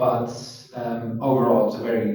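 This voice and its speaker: A man speaks with a Dutch accent at a fairly slow pace. Audible room echo can be heard around his voice. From Netherlands, Rotterdam. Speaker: interviewer, commercial property manager. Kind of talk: casual chat. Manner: hesitant, many fillers.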